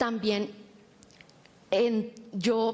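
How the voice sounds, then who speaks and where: A woman with a fairly high voice and a Cali accent. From Colombia, Cali. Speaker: communicator. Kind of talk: panel discussion.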